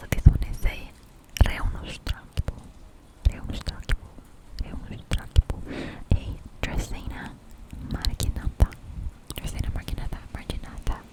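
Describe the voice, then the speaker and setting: A woman whispering at a moderate pace, with big swings in loudness, long, frequent pauses and noticeable background noise. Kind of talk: ASMR plant tour. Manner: whispered.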